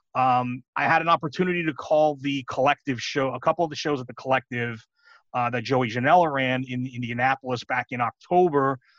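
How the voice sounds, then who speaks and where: In a New York accent, a man talks fairly quickly at a medium pitch with fairly even intonation. The sound is dry and close, with no echo. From New York City. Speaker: pro wrestling commentator. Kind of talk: casual interview.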